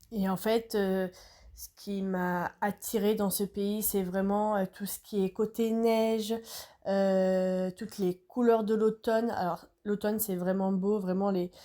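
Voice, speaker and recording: The voice has a dark, mellow tone and a monotone, flat intonation at a very slow pace. The recording is very clean, with a silent background. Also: woman, medium pitch for a woman. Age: 20s. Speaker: podcaster. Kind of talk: personal monologue podcast. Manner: hesitant, many filler words.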